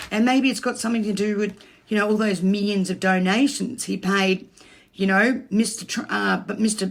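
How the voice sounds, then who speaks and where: At a moderate pace, a woman speaks in a somewhat breathy, medium-pitched voice with fairly even intonation. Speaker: cryptocurrency commentator. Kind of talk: casual market commentary.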